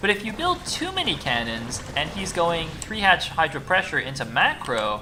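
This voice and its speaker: The speaker has a slight American accent and talks at a fairly quick pace. Music plays in the background. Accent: slightly American. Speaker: esports caster. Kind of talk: live commentary. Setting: live stream. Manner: animated.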